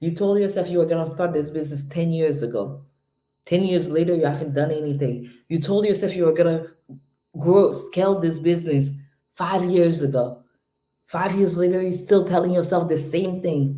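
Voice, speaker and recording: A woman's fairly low, dark, mellow voice at a moderate pace, with ordinary pitch variation. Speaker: home care business coach. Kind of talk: live stream motivational talk. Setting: home at night, live stream. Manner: loud; subdued, trying to keep quiet.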